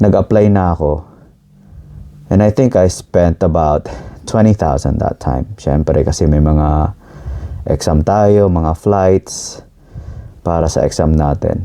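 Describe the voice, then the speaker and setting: Very deep and low in pitch, a man talks at a very slow pace with ordinary pitch variation and very even loudness. He leaves long, frequent pauses, with noticeable background noise behind him. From Philippines. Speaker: physician. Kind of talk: advice monologue.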